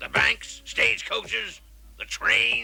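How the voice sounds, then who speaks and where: A man's raspy, cartoonish character voice at a very slow pace. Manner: angry, explosive.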